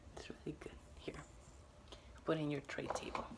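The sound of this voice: A man whispers at a moderate pace.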